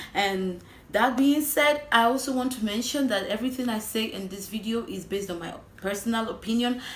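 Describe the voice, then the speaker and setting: The woman's voice comes with audible room echo and noticeable background noise. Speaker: relationship advice vlogger. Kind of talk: casual vlog monologue. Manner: fast.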